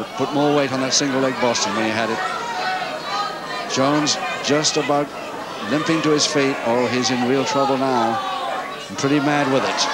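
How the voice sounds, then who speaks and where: Over crowd noise in the background, a man speaks in an animated tone at a fairly high pitch with ordinary pitch variation. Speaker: wrestling commentator. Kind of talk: live sports commentary on a wrestling match. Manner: animated, rapid play-by-play delivery, calling each hold and round.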